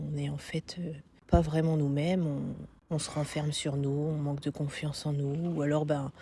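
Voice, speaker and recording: In a very clean recording with a silent background, a woman speaks at a fairly slow pace in a very deep, low pitch, her tone dark, mellow and somewhat breathy, and her intonation monotone and flat. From northern France. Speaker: coaching client. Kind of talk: testimony. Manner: hesitant, many fillers.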